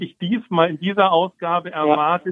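A man is speaking. His pace is fairly slow. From Hamburg, northern Germany. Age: 50s. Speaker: magazine publisher and writer. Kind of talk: interview. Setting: phone call. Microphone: telephone audio quality.

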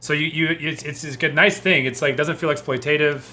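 At a fairly quick pace, a man with a fairly high pitch talks in a plain, everyday voice. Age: 30s. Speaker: comedian. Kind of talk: casual chat.

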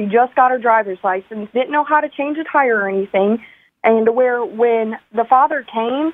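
This woman's high voice moves through ordinary pitch variation. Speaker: caller. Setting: phone call.

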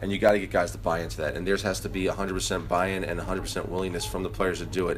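A man is heard with audible room echo. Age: 40s. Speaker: basketball head coach. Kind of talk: casual interview.

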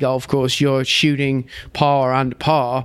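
With an American accent, a man speaks in a fairly high pitch. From southern England, Surrey. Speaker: golf coach. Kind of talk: interview conversation.

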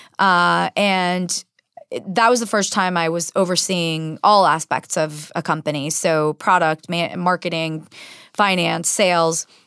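Bright and sharp in tone, the voice keeps a fairly even intonation on a very clean recording with a silent background and a dry, close sound with no echo. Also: woman. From San Diego, California (born in Israel). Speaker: tech startup CEO. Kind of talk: radio interview. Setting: radio studio.

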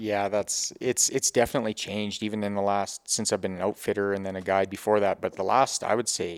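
A man with a western Canadian accent speaks at a fairly quick pace and fairly low pitch. The recording is very clean and dry, with a silent background and no echo. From Grande Prairie area, Alberta, Canada. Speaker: hunting outfitter and guide. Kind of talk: casual chat. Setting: in a home.

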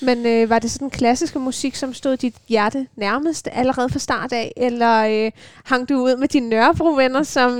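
At a fairly slow pace, a woman with a high pitch speaks with ordinary pitch variation in a dry, close sound with no echo. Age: 20s. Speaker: radio host and violinist. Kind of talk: casual chat. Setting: student's room at a music dormitory.

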